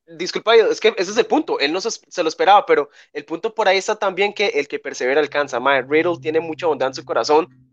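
Using a Costa Rican accent, a man speaks at a very fast pace with hardly any pauses. His high-pitched voice has lively intonation. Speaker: wrestling news show host. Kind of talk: casual chat.

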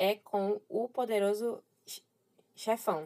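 Very slowly, a woman speaks with a dark, mellow tone at a medium pitch. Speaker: teacher. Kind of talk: lecture. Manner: animated.

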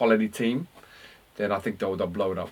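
Speech in an Australian accent, captured as a very clean recording against a silent background. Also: man. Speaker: basketball podcast co-host. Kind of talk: casual sports chat. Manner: halting, repetitive.

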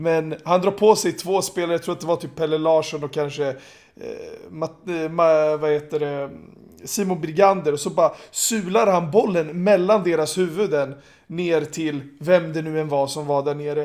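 He has an ordinary speaking voice, a man with fairly high pitch talking at a moderate pace. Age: 30s. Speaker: basketball pundit. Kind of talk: casual chat.

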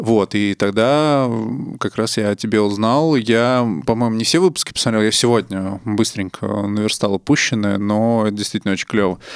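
An ordinary speaking voice proceeds at a moderate pace with ordinary pitch variation, recorded dry and close with no echo. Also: man, fairly low pitch for a man. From Russia, Nizhny Novgorod. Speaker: podcast host. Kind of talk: casual chat.

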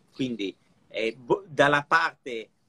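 Here a man's voice has a bright, sharp tone and ordinary pitch variation. The sound is dry and close, with no echo. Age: 50s. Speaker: watch collector. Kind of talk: casual live chat.

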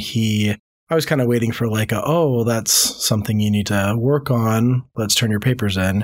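Speaking at a fairly quick pace, a man uses a normal speaking voice with fairly even intonation. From moved around the US, born in Louisiana. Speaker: marriage and family therapist. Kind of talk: personal testimony. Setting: studio.

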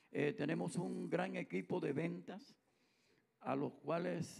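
The speaker is a man. His intonation is lively. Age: old. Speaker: musician in a touring band. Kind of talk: casual chat.

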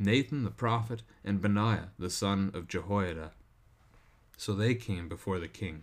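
In a very clean recording with a silent background, a man with a plain, everyday voice speaks at a fairly slow pace, his fairly low pitch showing ordinary variation. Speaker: pastor and devotional host. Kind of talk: scripture reading, then devotional commentary. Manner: measured, steady, formal reading cadence; shifts to conversational, informal tone in commentary.

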